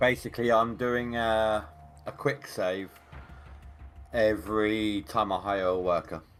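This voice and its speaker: Music plays in the background as a man with an English accent speaks at a fairly slow pace and a fairly low pitch, with ordinary pitch variation and long, frequent pauses. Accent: English accent, described as very cool. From England. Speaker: fellow gamer on voice chat. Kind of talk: casual gaming chat.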